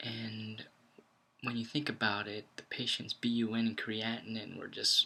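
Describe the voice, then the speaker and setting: Quiet and monotone with flat intonation, a man speaks at a moderate pace in a bright, sharp tone. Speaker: ICU nurse vlogger. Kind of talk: casual vlog talk. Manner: quiet, kept low.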